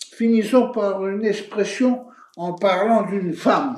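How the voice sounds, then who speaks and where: The man's voice is pitched high. He speaks very slowly. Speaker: show host. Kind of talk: TV show presenting.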